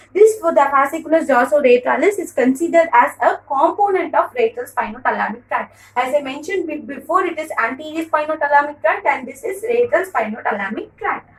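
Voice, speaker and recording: The delivery is very fast with lively intonation. Loudness swings widely throughout. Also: woman, high pitch for a woman. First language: Tamil. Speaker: teacher. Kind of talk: lecture. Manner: halting.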